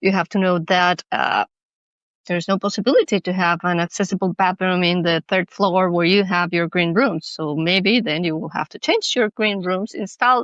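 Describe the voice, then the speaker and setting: A woman of medium pitch with a Spanish accent, ordinary pitch variation and a moderate pace, in a dry, close sound with no echo. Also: quiet background. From Mexico. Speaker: cultural manager and accessibility consultant. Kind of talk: podcast interview.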